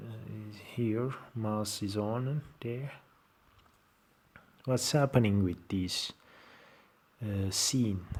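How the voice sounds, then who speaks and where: In a Turkish accent, a man with a medium-pitched voice speaks very slowly with ordinary pitch variation and long, frequent pauses. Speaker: software tutorial maker. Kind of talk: tutorial. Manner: halting.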